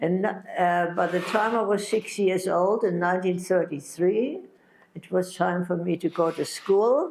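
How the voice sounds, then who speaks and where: A woman with a German accent speaks at a fairly slow pace. Her pitch sits in the middle of her range, with ordinary variation. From Germany, Berlin. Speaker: Holocaust survivor. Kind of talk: testimony. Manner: halting.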